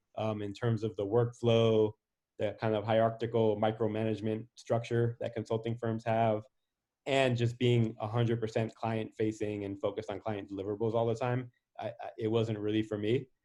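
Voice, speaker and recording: Over a silent background on a very clean recording, a man speaks in a monotone, flat way with a dark, mellow tone. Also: medium pitch for a man, moderate pace. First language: Spanish. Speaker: venture capitalist. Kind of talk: interview.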